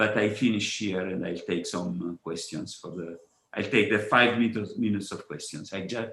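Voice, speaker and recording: With a Neapolitan accent, a man talks at a moderate pace in a fairly low pitch. His loudness swings widely while his pitch varies in an ordinary way. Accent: Neapolitan Italian. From Italy, Naples. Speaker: physicist. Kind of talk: conference talk. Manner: halting, many fillers and repetitions.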